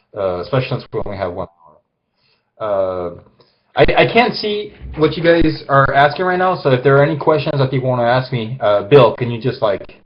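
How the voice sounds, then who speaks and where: A man talks at a fairly quick pace with a fairly high pitch. His somewhat breathy voice moves through very wide pitch swings. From France. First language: French. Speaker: illustrator. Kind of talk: live drawing demonstration. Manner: hesitant, many fillers.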